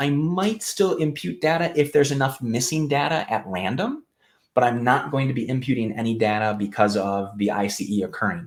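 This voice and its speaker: Lively intonation marks this man's delivery at a fairly quick pace. He has a normal speaking voice with a medium pitch. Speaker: clinical research educator. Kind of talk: live webinar explanation. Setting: live online stream.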